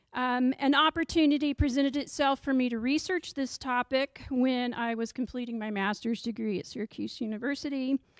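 Spoken in an American accent at a moderate pace, the voice has ordinary pitch variation, a dry sound with no echo, and a quiet background. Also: woman. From Texas. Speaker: history professor. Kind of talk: lecture. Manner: frequent ums. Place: classroom. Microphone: handheld.

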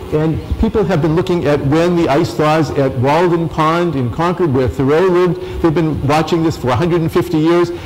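A man with an ordinary speaking voice, fairly high in pitch, with ordinary pitch variation, very even loudness, hardly any pauses and a moderate pace. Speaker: biology professor. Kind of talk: lecture. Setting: stage with audience. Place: hall.

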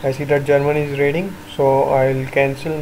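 Speaking at a fairly slow pace and fairly high pitch, a man is heard through noticeable background noise and audible room echo. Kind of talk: live gameplay commentary.

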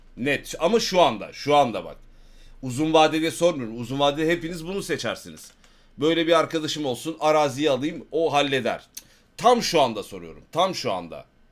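A man speaks at a moderate pace with lively intonation and vocal fry. His loudness swings widely. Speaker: live streamer. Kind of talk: casual stream chat with viewers. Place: home room.

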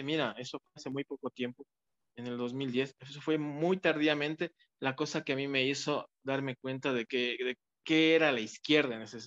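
A man talks with ordinary pitch variation at a moderate pace. Behind him the background is quiet. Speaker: interview guest. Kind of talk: interview answer. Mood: engaged storytelling. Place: home room. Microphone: video call.

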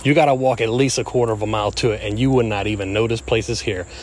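With ordinary pitch variation, a man speaks at a fairly quick pace, the sound dry with no echo. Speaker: explorer vlogger. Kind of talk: casual vlog intro. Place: forest.

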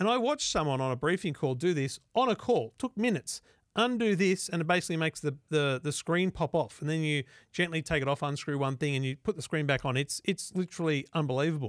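At a very fast pace, a man with an Australian accent speaks with a fairly high pitch and lively intonation. The sound is dry with no echo over a quiet background. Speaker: tech podcast host. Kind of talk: casual chat. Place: studio. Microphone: studio mic.

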